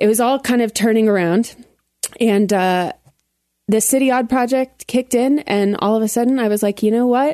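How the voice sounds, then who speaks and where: A woman's fairly high-pitched voice with an American accent, ordinary pitch variation, a moderate pace, very even loudness, a dark, mellow tone, and a dry, close sound with no echo. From Colorado Springs, US. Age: 20s. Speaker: entertainer and entrepreneur. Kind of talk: casual chat.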